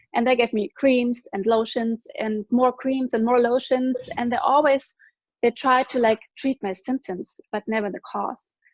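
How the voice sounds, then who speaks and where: In a German accent, a woman with a high pitch speaks at a fairly slow pace. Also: ordinary pitch variation, dry, close sound with no echo. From Germany. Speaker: product distributor giving testimony. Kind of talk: testimony.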